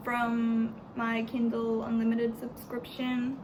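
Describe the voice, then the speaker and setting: A woman's fairly high voice at a very slow pace, with noticeable background noise and audible room echo. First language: Spanish. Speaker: book vlogger. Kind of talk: casual book review vlog. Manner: halting, repeats words.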